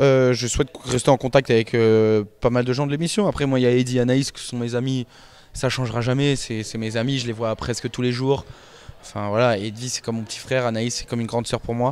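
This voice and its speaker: At a fairly quick pace, a man talks in a medium pitch with monotone, flat intonation, the sound dry with no echo. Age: 20s. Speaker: reality TV contestant. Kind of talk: interview answers. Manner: hesitant, many fillers and repetitions. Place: office. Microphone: handheld.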